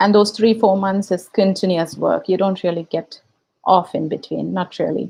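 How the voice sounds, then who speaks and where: A woman with a Tamil accent speaks at a moderate pace and medium pitch. Her intonation is fairly even, and her voice has vocal fry. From India. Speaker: YouTube reaction video creator. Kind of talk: casual livestream chat. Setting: livestream.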